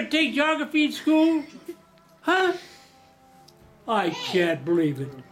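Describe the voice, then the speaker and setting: A man at a fairly slow pace with long, frequent pauses, music playing in the background. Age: 80s+. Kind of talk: interview answer.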